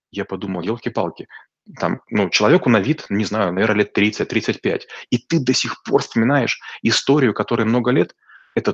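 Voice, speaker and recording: This man has a plain, everyday voice with ordinary pitch variation at a moderate pace. The sound is dry and close, with no echo. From rural Russia. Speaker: business coach. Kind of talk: expert interview.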